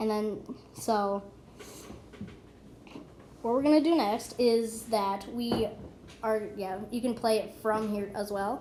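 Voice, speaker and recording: A woman with a fairly high pitch speaks at a very slow pace. Her intonation is fairly even, and she takes long, frequent pauses. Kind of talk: screen-recorded app tutorial narration. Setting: recording with audio problems. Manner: casual, hesitant.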